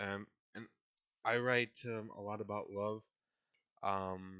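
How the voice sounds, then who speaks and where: At a very slow pace, a man speaks with a fairly low pitch, a bright, sharp tone and monotone, flat intonation. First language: not English. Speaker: poetry vlogger. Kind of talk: casual vlog talk. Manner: halting, many fillers.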